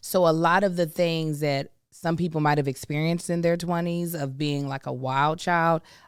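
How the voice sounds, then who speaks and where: In a very clean recording with a silent background, a woman talks with fairly even intonation. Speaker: podcast co-host. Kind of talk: casual chat. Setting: studio. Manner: loud.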